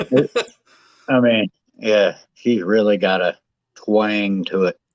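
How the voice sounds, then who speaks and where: Very slow, fairly even intonation with a Southern accent, very even loudness and a dry, close sound with no echo. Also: man, fairly low pitch for a man. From West Virginia mountains. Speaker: guest. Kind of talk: casual chat. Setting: live stream on phone.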